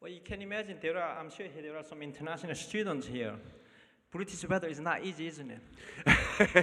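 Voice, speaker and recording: This man's voice sits high in pitch, with ordinary variation and a moderate pace. His loudness swings widely, and there is noticeable background noise. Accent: Korean. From North Korea. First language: Korean. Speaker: refugee telling his story. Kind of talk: testimony. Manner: halting.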